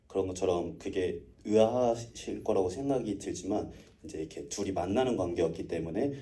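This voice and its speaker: Amid audible room echo, a man speaks at a moderate pace in a dark, mellow tone with lively intonation. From Seoul, South Korea. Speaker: film director. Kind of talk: Q&A talk after screening.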